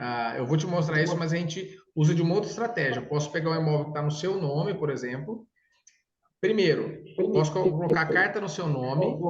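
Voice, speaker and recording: Audible room echo surrounds a man who speaks at a fairly quick pace in a fairly high pitch with ordinary pitch variation. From interior of São Paulo state, Brazil. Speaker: consortium sales consultant. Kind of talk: sales consultation with a client. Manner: casual, enthusiastic.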